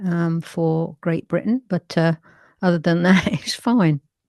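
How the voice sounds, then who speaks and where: A woman talks with a London accent in a fairly low pitch. The background is quiet. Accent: northwest London. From England, northwest London. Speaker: folk singer and spoken word poet. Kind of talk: interview.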